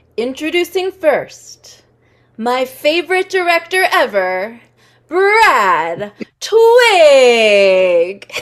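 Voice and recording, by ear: A put-on character voice, high-pitched and very slow, swings very widely in pitch.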